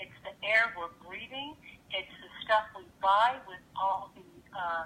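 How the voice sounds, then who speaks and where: A woman's medium-pitched voice at a very slow pace, with ordinary pitch variation, big swings in loudness and noticeable background noise. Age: 60s. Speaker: actress and health expert guest. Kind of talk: radio interview. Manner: animated.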